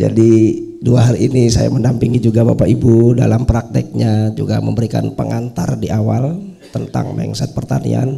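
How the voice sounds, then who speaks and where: A man speaks loudly at a moderate pace. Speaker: farming trainer assistant. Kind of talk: farewell speech. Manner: loud normally.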